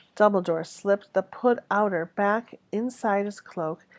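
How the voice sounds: The recording carries a natural reading voice. That voice runs from start to finish.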